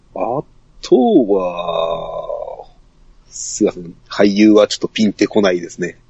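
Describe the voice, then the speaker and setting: A man speaks at a fairly slow pace, his loudness swinging widely, over noticeable background noise. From Saga, Japan. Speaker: podcast guest. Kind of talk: casual chat.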